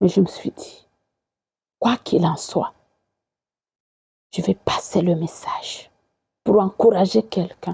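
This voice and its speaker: Speaking very slowly with long, frequent pauses, a woman at medium pitch has a dark, mellow, somewhat breathy tone in a dry, close sound with no echo. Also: fairly even intonation. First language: not French (speaking French). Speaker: evangelist. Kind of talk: sermon. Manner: halting.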